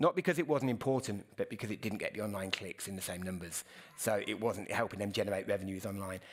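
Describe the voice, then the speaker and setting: Very fast speech from a fairly low-pitched man with a British accent, on a very clean recording with a silent background. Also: ordinary pitch variation. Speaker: news editor and journalist. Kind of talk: conference Q&A. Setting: stage with audience. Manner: halting, many fillers.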